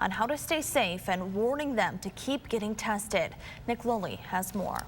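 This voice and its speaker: A woman with an unremarkable speaking voice, talking at a fairly quick pace. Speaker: TV news reporter and anchor. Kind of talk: TV news anchoring and field reporting.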